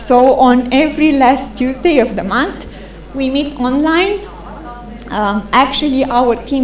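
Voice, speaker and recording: Noticeable background noise and audible room echo surround a woman speaking with ordinary pitch variation. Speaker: conference speaker presenting a policy tool. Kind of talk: conference presentation. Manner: fast.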